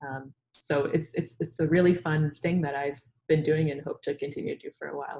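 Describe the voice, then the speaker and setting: A woman with a very deep, low pitch and a dark, mellow, somewhat breathy tone speaks at a fairly quick pace with big swings in loudness. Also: fairly even intonation. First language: Urdu. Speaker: scientist and science communicator. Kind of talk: webinar interview.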